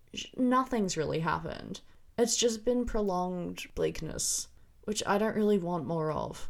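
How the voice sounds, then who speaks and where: Vocal fry and ordinary pitch variation on a very clean recording with a silent background. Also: woman. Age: 20s. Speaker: film review podcaster. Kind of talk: solo podcast review.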